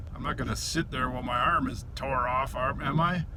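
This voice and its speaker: Speaking at a moderate pace, a man with a fairly high pitch is heard with audible room echo and noticeable background noise. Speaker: vlogger, reseller. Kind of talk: casual vlog narration. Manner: mumbling, casual; talkative.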